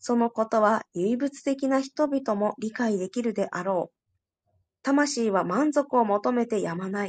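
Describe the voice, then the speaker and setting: A woman with a plain, everyday voice and a fairly high pitch speaks with ordinary pitch variation and big swings in loudness, in a dry, close sound with no echo against a quiet background. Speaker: study group participant. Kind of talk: reading aloud. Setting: online audio room.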